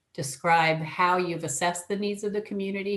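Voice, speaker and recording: A fairly quick delivery with monotone, flat intonation. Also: woman. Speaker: early education technical assistance presenter. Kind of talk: webinar presentation. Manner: fast.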